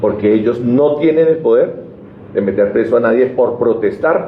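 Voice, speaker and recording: Through noticeable background noise and audible room echo, a man speaks at a medium pitch with ordinary pitch variation. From Colombian Llanos (eastern plains). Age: 60s. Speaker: Senate candidate, civil engineer. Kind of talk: press conference speech. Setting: press conference. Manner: emphatic, passionate.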